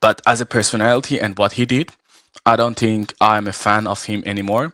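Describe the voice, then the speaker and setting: In an Iranian accent, the voice has a bright, sharp tone and fairly even intonation at a fairly quick pace. The sound is dry and close, with no echo. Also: man, fairly low pitch for a man. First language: Farsi. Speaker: arm wrestler and referee. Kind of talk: live show interview. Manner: halting, many fillers.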